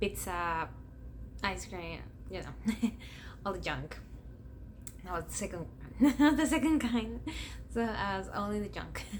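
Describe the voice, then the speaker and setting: A woman with a Spanish accent at a fairly slow pace, with long, frequent pauses and audible room echo. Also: big swings in loudness. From Ecuador. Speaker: YouTuber. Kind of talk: personal vlog storytelling.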